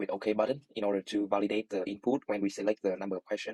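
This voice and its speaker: In a Vietnamese accent, a man talks very fast at a fairly low pitch, the sound dry and close with no echo. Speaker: student. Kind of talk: tutorial. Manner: halting, many fillers.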